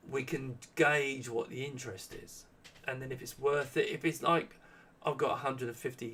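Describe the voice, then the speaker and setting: Through noticeable background noise, a man talks fairly quickly at a medium pitch with ordinary pitch variation. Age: 60s. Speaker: small business owner and maker. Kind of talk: live Q&A stream. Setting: live stream. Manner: halting, many false starts.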